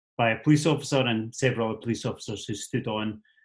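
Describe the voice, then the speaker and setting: Someone talks at a very fast pace in a Scottish accent. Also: man. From Scotland. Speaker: activist, teacher and musician. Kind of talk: talk to a meeting. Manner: hesitant, many fillers.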